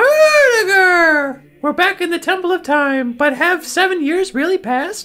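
A put-on character voice at an extremely high pitch, fairly slow and with hardly any pauses.

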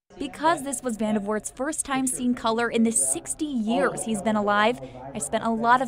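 A woman with a fairly high voice and ordinary pitch variation talks at a fairly quick pace in a dry sound with no echo, though noticeable background noise is present. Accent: American. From United States. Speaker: news anchor and reporter. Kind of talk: news reading.

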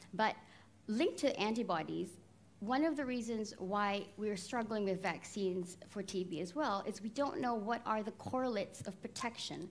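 A somewhat breathy woman's voice at medium pitch with ordinary pitch variation. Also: moderate pace. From Malaysia. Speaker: scientist. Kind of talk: Q&A session. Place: stage.

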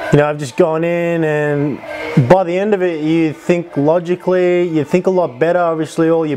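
A man at a moderate pace, with fairly even intonation and faint music behind him. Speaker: fitness vlogger. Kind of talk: casual vlog chat. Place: home room. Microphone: lapel.

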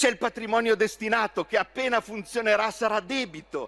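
This man's voice sits at a high pitch and carries a bright, sharp tone. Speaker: member of parliament. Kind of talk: parliamentary speech, accusatory and combative. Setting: parliament chamber. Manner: angry, sarcastic, vehement. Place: hall. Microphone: podium.

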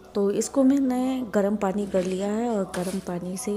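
A woman speaks at a very slow pace with ordinary pitch variation. Noticeable background noise is audible. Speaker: homemaker vlogger. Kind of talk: casual vlog chat.

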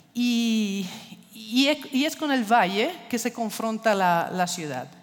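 Faint music plays in the background as a woman with an Italian accent speaks very slowly at a fairly high pitch with lively intonation. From Italy. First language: Italian (speaking Spanish). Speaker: architecture foundation director; speaker. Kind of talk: lecture. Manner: halting, many fillers. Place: stage. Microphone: headset.

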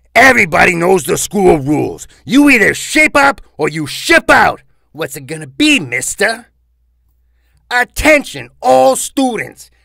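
A man puts on a high-pitched character voice at a fairly slow pace. His pitch swings very widely and his loudness swings a lot too. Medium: voice reel. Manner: stern, barking.

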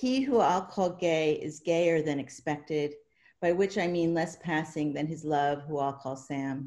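A woman with a very deep, low pitch speaks at a fairly slow pace in a dark, mellow tone. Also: ordinary pitch variation, quiet background. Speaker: poet and writing professor; poet. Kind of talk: poetry reading. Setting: video call. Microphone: webcam.

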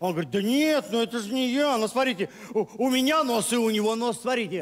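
This man's voice sits high in pitch, with ordinary pitch variation. He talks at a fairly quick pace. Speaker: stand-up comedian. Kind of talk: comic monologue. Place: stage. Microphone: headset.

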